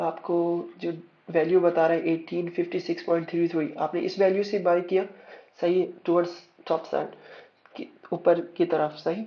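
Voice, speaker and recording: A man's high-pitched voice in a flat monotone. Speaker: forex trader and trading educator. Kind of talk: tutorial. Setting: screen-recorded voice commentary over charts. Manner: code-switching between Urdu and English; halting, with fillers and self-corrections.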